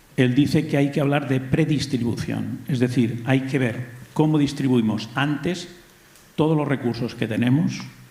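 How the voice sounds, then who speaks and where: There is audible room echo as a man talks at a moderate pace in a medium pitch with fairly even intonation. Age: 60s. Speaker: audience member asking a question. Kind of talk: audience comment at public debate.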